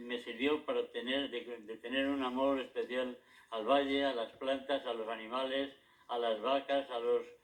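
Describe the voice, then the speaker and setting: A man speaks at a fairly slow pace in a medium pitch, with noticeable background noise behind him. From Madrid, Spain. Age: 80s+. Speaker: retired local historian and author. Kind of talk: interview. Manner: halting, with frequent repetitions.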